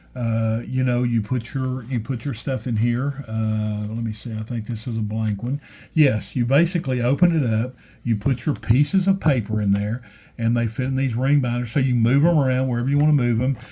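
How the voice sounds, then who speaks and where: On a very clean recording with a silent background, a man with a dark, mellow, somewhat breathy tone talks fairly quickly at medium pitch, with ordinary pitch variation. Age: 60s. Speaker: stationery YouTuber. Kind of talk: casual show-and-tell video. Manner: halting, many fillers and restarts.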